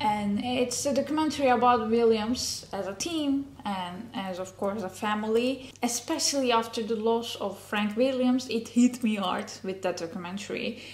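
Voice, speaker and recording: Fairly high-pitched woman at a moderate pace with hardly any pauses, amid noticeable background noise and audible room echo. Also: ordinary pitch variation. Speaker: motorsport YouTuber. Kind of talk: casual recommendation vlog. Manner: animated, many fillers.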